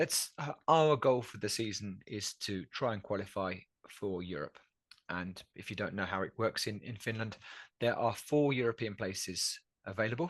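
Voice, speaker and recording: A man speaks in a normal speaking voice at a fairly low pitch, with lively intonation, a moderate pace and a quiet background. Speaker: podcast co-host. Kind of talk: casual podcast talk.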